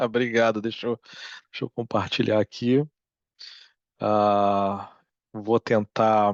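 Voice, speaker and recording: Against a quiet background, a man speaks very slowly in a fairly low, flat monotone, with long, frequent pauses and a dry, close sound with no echo. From Brazil. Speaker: psychology researcher, professor. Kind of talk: lecture. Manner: hesitant, many fillers.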